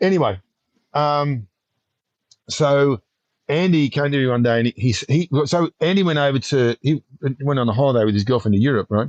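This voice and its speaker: A man with a fairly high pitch speaks at a moderate pace with long, frequent pauses, very even loudness and ordinary pitch variation, the sound dry and close with no echo. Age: 60s. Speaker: paragliding instructor. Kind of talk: interview answer. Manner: storyteller.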